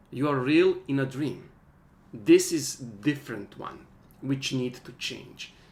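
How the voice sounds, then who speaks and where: A man with a non-native accent, at a fairly slow pace and with ordinary pitch variation. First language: not English. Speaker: workshop teacher. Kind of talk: online workshop lecture. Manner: halting.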